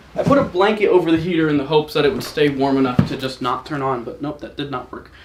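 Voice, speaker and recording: A man talks very fast in a fairly high pitch, his pitch varying in an ordinary way over noticeable background noise. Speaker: streamer. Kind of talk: casual chat. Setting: home live stream. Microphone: mic somewhat far away.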